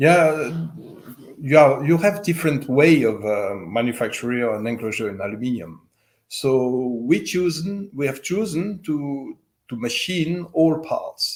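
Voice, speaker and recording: A man with a slight French accent speaks at a fairly high pitch. His intonation is lively, though his pace is fairly slow. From French-speaking Switzerland. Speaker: loudspeaker company owner. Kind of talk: interview. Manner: halting, many fillers.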